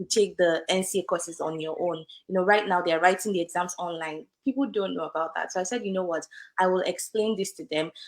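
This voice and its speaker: A woman at a fairly quick pace, medium in pitch with ordinary pitch variation, on a very clean recording with a silent background. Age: young. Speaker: lawyer. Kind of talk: interview. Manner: conversational with fillers.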